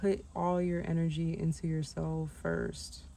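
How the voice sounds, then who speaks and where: There is audible room echo. A woman speaks at a very slow pace. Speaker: vlogger. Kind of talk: casual monologue vlog. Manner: halting, many fillers.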